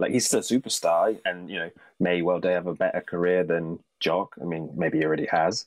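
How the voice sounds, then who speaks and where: A man with a British accent speaks at a very deep, low pitch. He has hardly any pauses. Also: very clean recording, silent background. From Britain. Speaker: baseball fan podcast guest. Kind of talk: casual chat.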